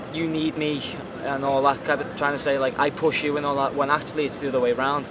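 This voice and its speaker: In a Liverpool accent, the speaker goes at a fairly quick pace with monotone, flat intonation over noticeable background noise. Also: man. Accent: Liverpool (Scouse). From Liverpool, England. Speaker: free runner and actor. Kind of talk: interview.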